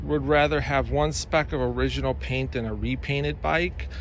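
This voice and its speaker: The sound of this man is dry with no echo, over light background noise. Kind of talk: casual review commentary. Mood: enthusiastic, proud. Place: garden. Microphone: phone near.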